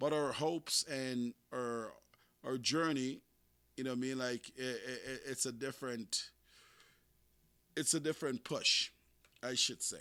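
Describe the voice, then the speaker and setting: On a very clean recording with a silent background, a man with a non-native accent talks at a fairly slow pace with long, frequent pauses, fairly even intonation, a medium pitch and a bright, sharp tone. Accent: struggles to pronounce some English sounds. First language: not English, English is third language. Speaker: podcast host. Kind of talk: casual monologue. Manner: halting, many repetitions and fillers.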